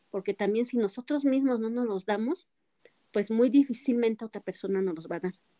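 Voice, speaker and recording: A woman talks at a fairly quick pace, her fairly high pitch carrying a dark, mellow tone and ordinary pitch variation. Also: dry, close sound with no echo. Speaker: motivational speaker. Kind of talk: interview. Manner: occasionally tongue-tied.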